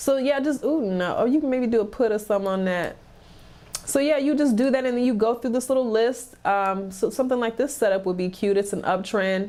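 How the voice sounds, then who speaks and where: At a fairly quick pace, a woman speaks at a fairly high pitch with a dark, mellow tone and ordinary pitch variation. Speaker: stock market YouTuber. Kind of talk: live stream chat and trading tutorial. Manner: casual, chatty.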